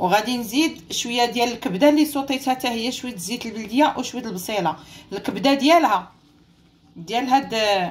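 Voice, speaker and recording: A woman speaks with a high pitch at a fairly quick pace. Her intonation is lively. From Morocco. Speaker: cooking channel host. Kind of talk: cooking tutorial. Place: kitchen. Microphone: phone near.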